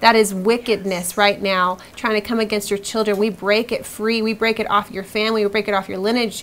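With hardly any pauses, a woman talks at a fairly quick pace in a fairly high pitch and a monotone, flat intonation. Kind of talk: prayer and ministry talk show. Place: studio.

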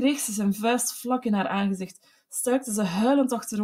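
In quiet surroundings, a person reads aloud with a natural voice.

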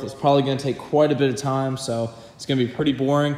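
A man at a very fast pace, flat and monotone, with audible room echo. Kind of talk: casual vlog chat. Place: garage. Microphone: phone near.

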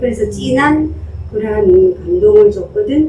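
Speaking very slowly, a woman has a Gyeongsang accent. Noticeable background noise runs behind her. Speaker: poet. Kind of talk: casual conversation.

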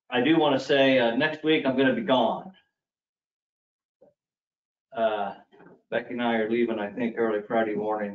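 With audible room echo, a man speaks at a moderate pace, his pitch varying in an ordinary way and his pauses long and frequent. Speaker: official reporting to the board. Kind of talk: meeting report. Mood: relaxed, informal. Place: meeting room. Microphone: podium.

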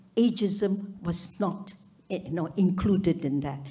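A woman speaks very slowly in a dark, mellow, somewhat breathy voice. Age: 80s+. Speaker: retired surgeon, audience member; audience member. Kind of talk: audience comment at a summit. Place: hall. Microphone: handheld.

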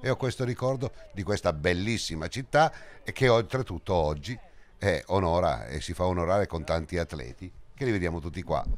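A man with a very deep, low pitch, vocal fry, very wide pitch swings and an animated tone at a moderate pace. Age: old. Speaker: cycling commentator. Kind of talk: live commentary; interview.

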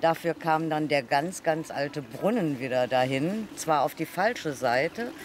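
Over light background noise in a dry sound with no echo, a woman speaks at a fairly slow pace with a very deep, low pitch and ordinary pitch variation. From Troisdorf, Rhineland, Germany. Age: 60s. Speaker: local resident. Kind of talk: interview answer. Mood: warm, nostalgic. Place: street.

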